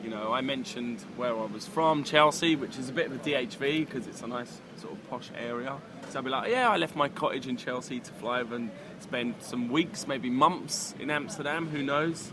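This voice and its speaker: A man speaks at a moderate pace with a medium pitch and ordinary pitch variation, against noticeable background noise. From London, England. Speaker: dating coach. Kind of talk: casual chat. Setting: cafe.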